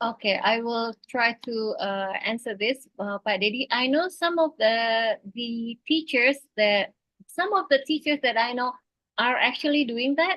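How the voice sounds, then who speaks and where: A woman speaks at a fairly slow pace with a high pitch, lively intonation, and an Indonesian accent. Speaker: teacher. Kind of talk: webinar discussion. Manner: halting.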